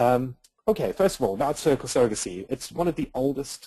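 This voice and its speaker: Speaking at a moderate pace, a man with an American accent has a dark, mellow tone. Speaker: surrogacy agency outreach representative. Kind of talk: webinar presentation. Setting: online webinar.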